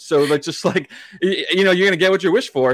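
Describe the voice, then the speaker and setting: A man speaks at a very fast pace with an American accent. The sound is dry and close, with no echo. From Massachusetts, US. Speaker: podcast producer and co-host, hockey fan. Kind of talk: casual interview chat.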